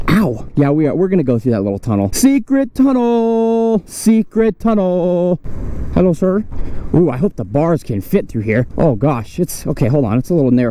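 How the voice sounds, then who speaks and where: High-pitched man's voice with very wide pitch swings at a moderate pace, plus noticeable background noise. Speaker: motovlogger. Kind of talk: casual vlog narration while riding. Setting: outdoors riding an e-bike. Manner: animated.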